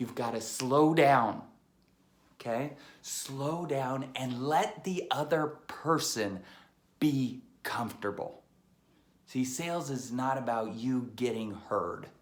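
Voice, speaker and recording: With audible room echo, a man of medium pitch and ordinary pitch variation speaks very slowly, leaving long, frequent pauses. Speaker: sales trainer. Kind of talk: tutorial. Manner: animated.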